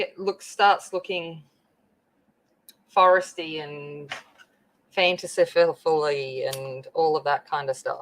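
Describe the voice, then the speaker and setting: Speaking very slowly with long, frequent pauses, a woman with a strong Australian accent keeps her intonation fairly even while her loudness swings widely. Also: fairly low pitch for a woman. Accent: very broad Australian. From rural Australia (the bush, out west). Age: 40s. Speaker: craft livestreamer. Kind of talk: casual livestream chat while crafting. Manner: chatty, informal.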